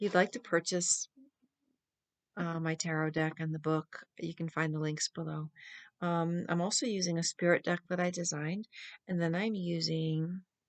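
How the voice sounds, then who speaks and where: Against a quiet background, a soft-spoken woman talks in a fairly low, monotone, flat voice, with a dry, close sound and no echo. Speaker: tarot reader. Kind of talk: tarot reading. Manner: slow.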